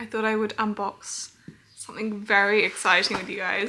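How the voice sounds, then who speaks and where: Putting on a croaky character voice, a woman speaks at medium pitch and a moderate pace with monotone, flat intonation. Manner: chatty, upbeat.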